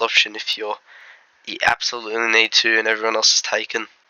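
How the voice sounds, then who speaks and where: A man with an Australian accent, talking at a fairly quick pace. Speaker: fantasy football content creator. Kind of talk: casual commentary video. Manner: casual, hesitant.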